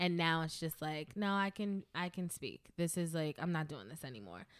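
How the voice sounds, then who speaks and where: The speaker talks at a moderate pace with a New York accent. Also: woman. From US, the Bronx, New York. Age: 30s. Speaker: DJ and dancer. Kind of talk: casual interview.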